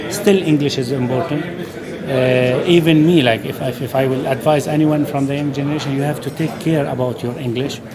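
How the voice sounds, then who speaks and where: Fairly quick speech with an Arabic accent and fairly even intonation, amid noticeable background noise and audible room echo. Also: man, fairly high pitch for a man. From Syria. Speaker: chef. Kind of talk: interview. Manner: halting.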